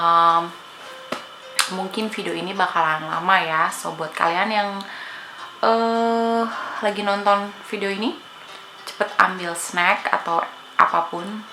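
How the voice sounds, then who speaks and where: Speaking at a very slow pace with long, frequent pauses, a woman uses ordinary pitch variation while noticeable background noise and audible room echo fill the recording. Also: medium pitch for a woman. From Indonesia, Bandung (West Java). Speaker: family vlogger. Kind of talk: casual Q&A chat to viewers.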